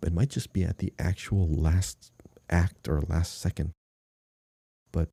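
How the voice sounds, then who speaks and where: With long, frequent pauses, a man speaks in a very deep, low pitch with a dark, mellow tone that is somewhat breathy. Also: very even loudness, dry, close sound with no echo. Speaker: podcast host. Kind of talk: casual podcast talk.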